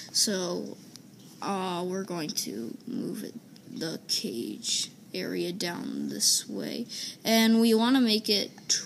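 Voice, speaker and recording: A woman talks at a very slow pace, with light background noise behind her. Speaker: gaming video creator; gamer. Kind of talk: casual gameplay commentary. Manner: halting, many fillers. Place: home room. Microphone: phone near.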